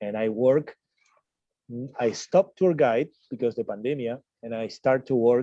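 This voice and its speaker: Heard in a dry, close recording with no echo, a man with a Spanish accent speaks fairly slowly at a medium pitch, his tone dark and mellow and his pitch variation ordinary. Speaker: tour guide and radio announcer. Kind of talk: interview.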